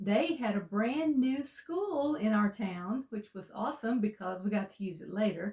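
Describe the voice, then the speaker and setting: A woman's fairly high, somewhat breathy voice with a dark, mellow tone, lively intonation and hardly any pauses, with an Alabama accent. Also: moderate pace. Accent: Southern US (Alabama). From US South, Alabama (Walker County). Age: 60s. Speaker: co-host. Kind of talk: interview, casual conversation.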